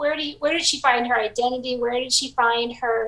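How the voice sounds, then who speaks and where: A woman with an American accent speaks in a raised, projected voice at a high pitch, with ordinary pitch variation. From southwest Michigan, US Midwest. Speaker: novelist. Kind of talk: interview.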